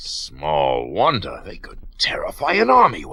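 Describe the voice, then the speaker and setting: A man uses a put-on character voice at a moderate pace. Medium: old radio play. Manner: worried.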